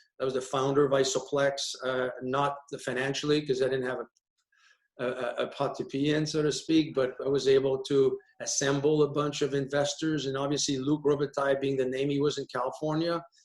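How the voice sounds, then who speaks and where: This man talks at a fairly quick pace in a Quebec accent, his fairly high pitch held in a monotone, flat intonation. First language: French. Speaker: hockey player agent. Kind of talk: panel discussion. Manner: halting, many repetitions.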